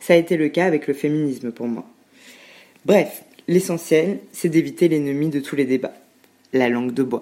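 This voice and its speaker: A woman speaks at a moderate pace with a very deep, low pitch and a dark, mellow tone, using ordinary pitch variation and long, frequent pauses. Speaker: podcast guest. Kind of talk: scripted narration. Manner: loud.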